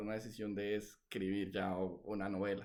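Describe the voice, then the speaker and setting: A man's voice with audible room echo. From Colombia, Valledupar (Caribbean coast). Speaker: novelist. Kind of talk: interview. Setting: video call. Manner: hesitant, many fillers.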